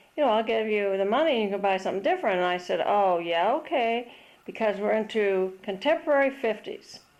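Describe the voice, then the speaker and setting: A woman speaks at a fairly quick pace with lively intonation. Her pitch sits fairly high. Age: 60s. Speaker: homeowner showing her house. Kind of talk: casual house tour narration. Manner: hesitant with fillers.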